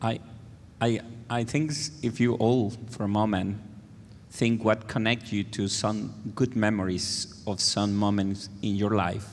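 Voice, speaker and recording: A man with a Spanish accent, fairly low-pitched, fairly even in intonation and fairly slow in pace. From Venezuela. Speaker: music educator. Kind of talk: panel discussion.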